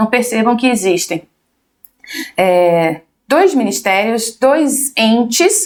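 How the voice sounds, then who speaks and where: A woman speaks at a high pitch with very wide pitch swings. She talks at a very slow pace. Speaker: teacher. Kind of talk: lecture. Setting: livestream.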